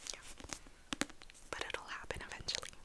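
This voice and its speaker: A woman is whispering over noticeable background noise. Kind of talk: ASMR whispered book rambling. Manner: whispered; rambling, casual.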